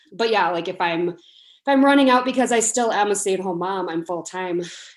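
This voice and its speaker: A woman with an American accent speaks in an ordinary speaking voice at a medium pitch and a fairly quick pace. Her pitch variation is ordinary, and the recording is very clean with a silent background. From US Midwest (La Crosse, Wisconsin). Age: 20s. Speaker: home baker. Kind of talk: casual interview.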